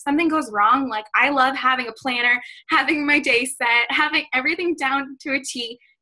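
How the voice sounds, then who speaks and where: A woman with an American accent speaks in a raised, projected voice at a high pitch. Her tone is bright and sharp. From US Northeast, Boston. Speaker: fitness coach. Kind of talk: motivational talk on a team call. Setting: video call with screen share. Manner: fast; animated.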